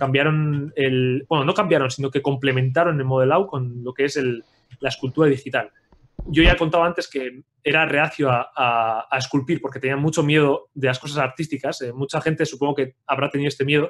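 A man with a plain, everyday voice, fairly high pitch and a fairly quick pace. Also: fairly even intonation. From Spain, Pamplona (Navarre). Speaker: 3D character sculptor. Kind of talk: livestream tutorial. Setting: live video stream.

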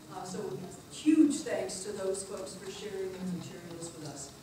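A woman talks at a fairly quick pace through loud background noise, with audible room echo. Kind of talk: public talk to audience. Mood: warm, appreciative. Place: meeting room. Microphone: camera far.

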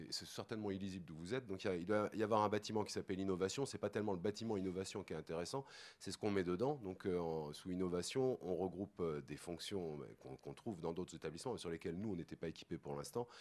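A man talks at a very fast pace in a very deep, low pitch with ordinary variation, in a very clean recording with a silent background. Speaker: sports centre official. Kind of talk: panel discussion. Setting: conference stage with audience.

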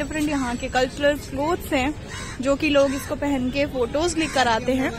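Clear music plays behind a woman who speaks fairly slowly in a high voice with fairly even intonation, the sound dry with no echo. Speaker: travel vlogger. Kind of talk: casual vlog chat. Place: waterside. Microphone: phone near.

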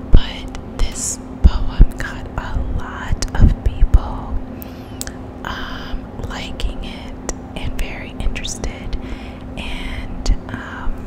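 A woman talks at a very slow pace, with long, frequent pauses. Loud background noise runs underneath. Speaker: poet vlogger. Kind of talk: poetry reading and casual vlog chat. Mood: warm, gentle, expressive. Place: kitchen. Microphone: studio mic.

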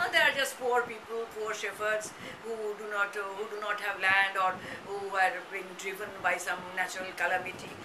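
Speech in a Bengali accent carries fairly even intonation over noticeable background noise. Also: woman, moderate pace. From India, Calcutta, West Bengal. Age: old. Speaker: retired English professor; interviewee. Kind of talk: oral history interview; interview answer. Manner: hesitant with fillers. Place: home room. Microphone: webcam.

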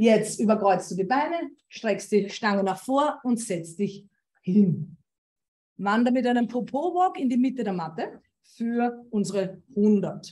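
Her voice is dark, mellow and somewhat breathy, with lively intonation. The woman speaks at a very slow pace. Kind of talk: exercise class instructions. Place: home room. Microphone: video call.

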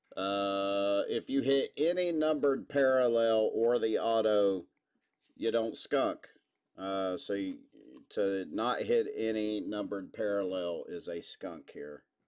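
Over a quiet background, a man speaks at a very slow pace. His intonation is lively. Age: 40s. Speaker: sports card break host. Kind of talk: live card break stream. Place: studio.

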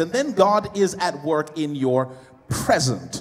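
With light background noise behind him, a man speaks with ordinary pitch variation. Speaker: preacher. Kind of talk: sermon. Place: hall. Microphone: handheld.

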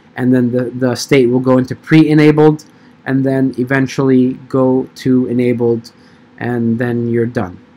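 Here a man talks at medium pitch. His pace is fairly slow and his intonation monotone and flat. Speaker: crypto tutorial youtuber. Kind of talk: tutorial.

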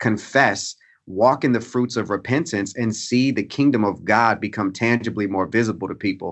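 Here is an ordinary speaking voice from a man at medium pitch. He talks at a fairly quick pace with ordinary pitch variation. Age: 30s. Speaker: pastor, author and professor. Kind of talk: interview conversation.

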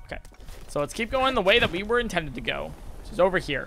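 A man speaks in a raised, projected voice. Noticeable background noise runs behind him. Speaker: video game streamer. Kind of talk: live gameplay stream commentary. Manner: casual, clipped word endings; animated.

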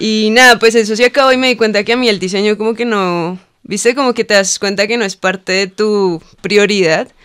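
In a quiet background, a woman with a plain, everyday voice talks at a fairly quick pace, her fairly high pitch held in fairly even intonation. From Cali, Colombia; Colombia. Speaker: lettering artist and muralist; podcast guest. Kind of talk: casual interview chat. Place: studio. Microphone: studio mic.

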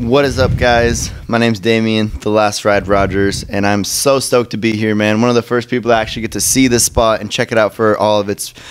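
A man talks at a fairly quick pace with hardly any pauses. His intonation stays fairly even. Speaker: guest. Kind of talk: casual podcast chat. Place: shop. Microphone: studio mic.

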